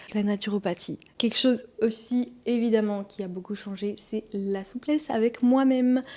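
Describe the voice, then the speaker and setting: Here a woman speaks at a fairly high pitch. Her tone is dark and mellow. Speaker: wellness vlogger and massage therapist. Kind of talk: personal testimony vlog.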